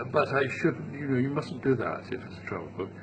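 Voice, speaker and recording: A man at medium pitch, fairly quick pace, with noticeable background noise. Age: 70s. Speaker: travel writer. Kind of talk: interview. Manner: halting.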